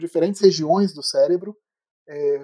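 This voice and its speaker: Male voice at a fairly slow pace, ordinary pitch variation, dry and close with no echo. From Brazil, Petrópolis (Rio de Janeiro state). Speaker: neuroscience professor. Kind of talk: interview. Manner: halting, many fillers.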